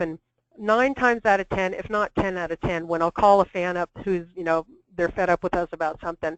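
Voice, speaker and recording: A woman talks at a fairly quick pace, her pitch medium. The sound is dry and close with no echo, over a quiet background. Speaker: minor league baseball team executive. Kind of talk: webinar presentation. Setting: webinar call. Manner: fast; animated.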